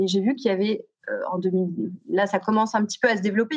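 The pace is fairly quick. The speaker is a woman. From southern France (Aix-en-Provence), teens in Paris. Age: 40s. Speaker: youth coach, founder of a teen program. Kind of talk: podcast interview. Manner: halting, many repetitions and fillers.

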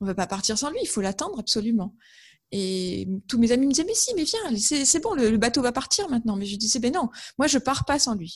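A woman speaks at a moderate pace. Her pitch sits fairly high, with lively intonation. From northern France, Amiens (Picardy). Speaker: author and graphic designer. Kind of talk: interview. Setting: video call. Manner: hesitant, with fillers and repetitions.

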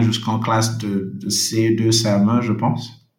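This man speaks at a very slow pace, his pitch sitting in the medium range. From Senegal, Dakar. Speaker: World Bank investment officer. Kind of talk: interview. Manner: halting, with frequent repetitions.

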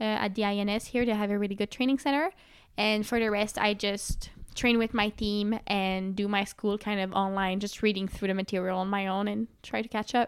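A woman talks at a fairly quick pace in a medium pitch with fairly even intonation and very even loudness, a normal speaking voice. The recording is very clean with a silent background. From Quebec, Canada (Sherbrooke). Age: 20s. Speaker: aerial skier and engineering student. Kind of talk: interview, casual chat.

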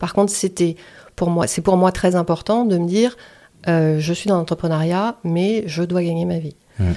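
At a moderate pace, a woman speaks with a fairly low pitch, a dark, mellow tone and ordinary pitch variation on a very clean recording with a silent background. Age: 50s. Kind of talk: testimony. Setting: at the host's home.

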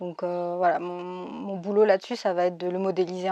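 A woman's dark, mellow tone at a medium pitch and moderate pace over a quiet background. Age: 20s. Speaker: illustrator and 3D artist. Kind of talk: interview. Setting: remote interview during lockdown in Spain.

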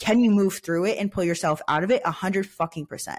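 On a very clean recording with a silent background, a woman sounds animated and somewhat breathy, at a medium pitch with ordinary pitch variation. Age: 20s. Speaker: podcast host. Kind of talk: casual solo monologue.

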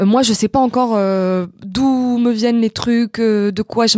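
A woman talks with fairly even intonation on a very clean recording with a silent background. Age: 20s. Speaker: actress and internet comedian. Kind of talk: casual chat. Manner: halting.

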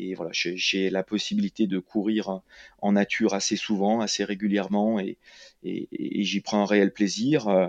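This man's pitch is fairly low. He talks at a fairly slow pace with monotone, flat intonation. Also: dry, close sound with no echo. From France, Lyon area. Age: 40s. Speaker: ultra trail runner and PE teacher. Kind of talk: interview. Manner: halting, repeats words.

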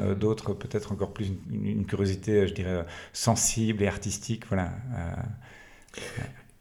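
Fairly low male pitch with a dark, mellow tone, vocal fry and fairly even intonation. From Belgium, Liège region. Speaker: entrepreneur. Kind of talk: casual interview. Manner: halting.

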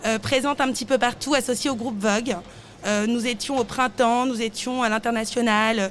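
Speaking at a fairly slow pace, a woman uses a high pitch and a monotone, flat intonation. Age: 30s. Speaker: fashion brand founder. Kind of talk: interview. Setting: live at a trade fair stand.

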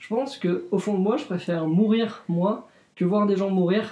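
Its tone is dark and mellow, and its pitch varies an ordinary amount. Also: man. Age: 20s. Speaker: interviewee sharing views on death. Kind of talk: interview testimony. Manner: hesitant.

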